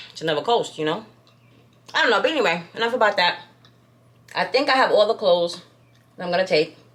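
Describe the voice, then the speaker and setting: Over noticeable background noise, a woman talks very fast in an American accent with lively intonation. She leaves long, frequent pauses. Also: medium pitch for a woman. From New York. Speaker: lifestyle vlogger. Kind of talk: casual chat. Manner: animated.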